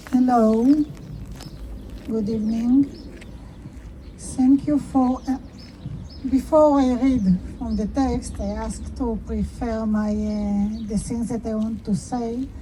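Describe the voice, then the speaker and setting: With an Israeli accent, a woman speaks at a very slow pace with long, frequent pauses against noticeable background noise. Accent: Israeli Hebrew. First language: Hebrew. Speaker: artist and activist. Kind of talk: public speech. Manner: halting.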